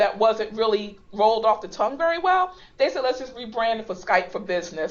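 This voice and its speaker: Moderate-paced speech from a woman with an unremarkable speaking voice, pitched fairly high. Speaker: instructional technology trainer. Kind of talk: online training webinar. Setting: web conference call.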